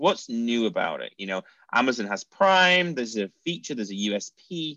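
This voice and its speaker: The man's voice sits at a medium pitch but swings very widely. The sound is dry and close, with no echo. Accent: Mancunian. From Manchester, northern England. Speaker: e-commerce company founder. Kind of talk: interview.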